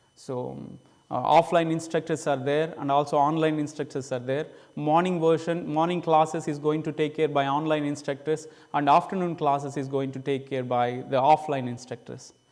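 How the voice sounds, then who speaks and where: Here is a man with a fairly high pitch. His intonation is monotone and flat. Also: moderate pace. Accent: Indian. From India. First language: Indian language. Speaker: missionary preacher. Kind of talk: church presentation. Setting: church. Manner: halting.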